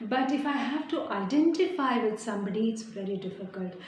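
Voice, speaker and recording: Noticeable background noise and audible room echo surround a woman speaking with an Indian accent. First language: Hindi. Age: young. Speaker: poet. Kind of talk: interview. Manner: halting.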